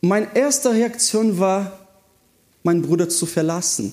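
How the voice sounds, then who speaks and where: With lively intonation, a man speaks at a fairly slow pace in a high pitch. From southern Brazil. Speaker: youth pastor. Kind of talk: sermon. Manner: animated.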